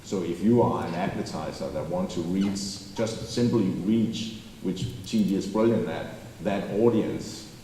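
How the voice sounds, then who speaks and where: With a Danish accent, a man talks with ordinary pitch variation. Noticeable background noise and audible room echo fill the recording. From Denmark, Copenhagen. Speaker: advertising company CEO. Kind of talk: onstage interview. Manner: animated.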